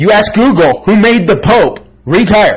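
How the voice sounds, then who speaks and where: The speaker is a man. He talks loudly. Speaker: vlogger recounting personal court experience. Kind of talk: personal monologue. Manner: repetitive, halting with fillers.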